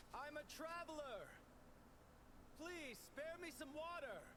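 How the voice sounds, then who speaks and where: A man puts on a character voice at a fairly slow pace. Loud noise fills the background. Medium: fan dub. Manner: earnest, determined.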